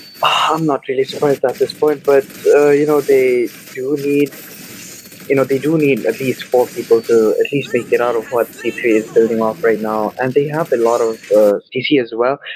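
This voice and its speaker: Soft-spoken and fairly high-pitched, a man talks at a moderate pace with ordinary pitch variation as noticeable background noise carries through. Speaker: esports caster. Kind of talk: live commentary. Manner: soft, unexcited.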